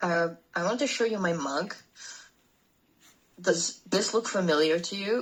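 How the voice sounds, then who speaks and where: A woman speaks at a fairly low pitch and a fairly slow pace, with lively intonation. Her pauses are long and frequent. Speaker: online tutor. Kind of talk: online lesson chat. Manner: relaxed.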